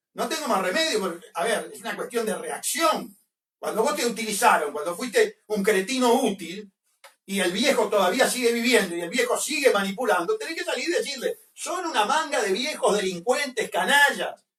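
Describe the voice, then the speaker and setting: With a Uruguayan accent, a man speaks at a moderate pace in an extremely high pitch, using lively intonation. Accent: Rioplatense Spanish (Uruguayan). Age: 60s. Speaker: political commentator. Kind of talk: radio interview. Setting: radio studio. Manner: animated.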